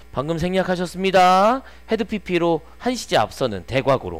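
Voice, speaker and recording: Faint music plays in the background as a man with a high pitch speaks at a moderate pace. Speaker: English teacher. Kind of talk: lecture. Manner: casual and conversational. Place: classroom. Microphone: headset.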